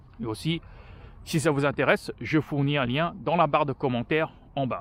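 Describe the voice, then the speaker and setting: At a moderate pace, a man talks in a fairly high pitch with ordinary pitch variation on a very clean recording with a silent background. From France. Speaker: vlogger. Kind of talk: walking vlog monologue. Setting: outdoors, walking. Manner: halting, many hesitations.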